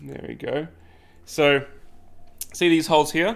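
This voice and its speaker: A man with an Australian accent speaks at a fairly slow pace in a bright, sharp tone. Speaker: 3D printing YouTuber. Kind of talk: live stream unboxing and setup. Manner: casual, chatty.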